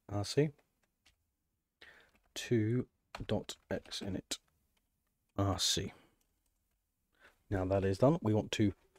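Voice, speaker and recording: A man's somewhat breathy, fairly low voice at a very slow pace, dry and close with no echo, on a very clean recording with a silent background. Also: long, frequent pauses. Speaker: Linux tutorial maker. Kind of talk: screen-recorded software tutorial.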